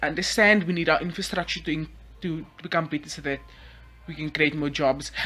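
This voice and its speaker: Noticeable background noise lies under a woman's fairly low-pitched voice. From South Africa. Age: young. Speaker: YouTuber. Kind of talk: casual vlog monologue.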